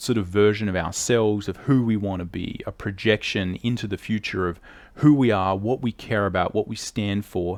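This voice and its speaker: A man with an Australian accent talks at a moderate pace and a fairly low pitch. His pitch varies in an ordinary way, and the recording is very clean with a silent background. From Australia, not a big city. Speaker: artist and drawing teacher. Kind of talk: educational talk to camera.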